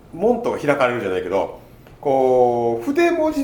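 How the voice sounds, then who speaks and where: Noticeable background noise and audible room echo behind a man's speech. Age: 20s. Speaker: podcast host. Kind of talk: casual chat.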